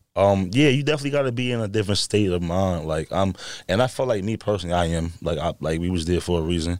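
A man's very deep, low voice in a New York accent, with a very fast pace and lively intonation, on a very clean recording with a silent background. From New York, the Bronx. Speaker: adult film performer. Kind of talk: casual chat.

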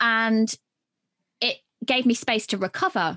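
With a British accent, a woman speaks at a fairly slow pace in a fairly high pitch, her bright, sharp tone and lively intonation captured in a dry, close sound with no echo. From UK. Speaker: podcast agency founder and author. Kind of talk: casual interview chat.

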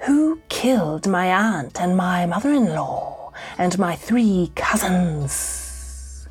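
A put-on female character voice at a medium pitch, menacing in tone, speaks at a very slow pace with hardly any pauses, over background music and hissing. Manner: hissing, menacing.

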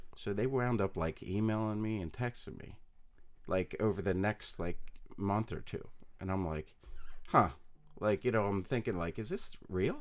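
With an American accent, a man speaks at a moderate pace in a fairly low pitch, showing ordinary pitch variation and taking long, frequent pauses. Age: 40s. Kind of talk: casual interview chat. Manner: soft-spoken, humble.

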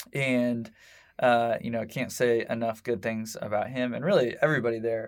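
On a very clean recording with a silent background, a man speaks with a Midwestern American accent and fairly even intonation. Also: medium pitch for a man, moderate pace. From Indianapolis, Indiana (Southport). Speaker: marketing agency founder. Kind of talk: interview. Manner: casual, hesitant with fillers.

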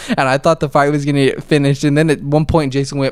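Very fast speech comes from a man with a fairly high pitch. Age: 20s. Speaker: podcast host, MMA fan. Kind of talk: casual chat. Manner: animated.

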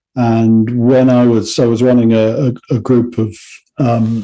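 Here is a man with an English accent and a medium pitch. His tone is dark and mellow, and his intonation stays fairly even. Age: 50s. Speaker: songwriter and music educator. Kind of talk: interview.

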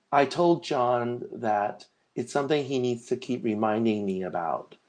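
Male speech, ordinary in pitch movement, against a quiet background. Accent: Californian. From Los Angeles, US. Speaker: designer and seminarian. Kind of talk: casual interview.

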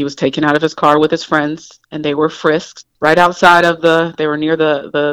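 A woman with an American accent speaks in a very deep, low pitch with monotone, flat intonation. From Indiana. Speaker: school principal. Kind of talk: phone interview.

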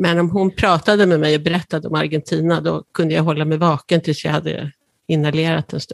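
This woman's voice sits very deep and low, with vocal fry. Her intonation is flat and monotone, and the sound is dry and close with no echo. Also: fairly quick pace. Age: 60s. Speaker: patient with cystic fibrosis. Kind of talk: interview.

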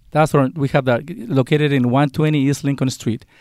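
Talking at a very fast pace, a man with a fairly high pitch is heard in a very clean recording with a silent background. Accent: Spanish. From Mexico. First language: Spanish. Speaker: college dean. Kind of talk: interview.

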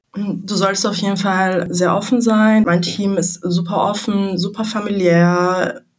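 A woman's somewhat breathy, medium-pitched voice, very slow and monotone with flat intonation and hardly any pauses. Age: 20s. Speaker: management consultant. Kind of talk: interview.

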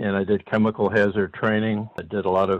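Fairly quick speech in a monotone, flat intonation. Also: man. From Pittsburgh area. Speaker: union activist and labor historian. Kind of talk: interview, historical storytelling.

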